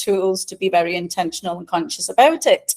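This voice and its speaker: The speaker has a Scouse accent and a moderate pace. The sound is dry and close, with no echo. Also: woman. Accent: Liverpool English, praised as beautiful. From England, Liverpool. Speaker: life and career coach. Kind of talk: podcast interview.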